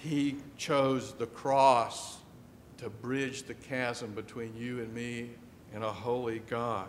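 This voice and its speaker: A man's voice with audible room echo. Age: 60s. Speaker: pastor. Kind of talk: sermon. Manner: conversational, with frequent fillers.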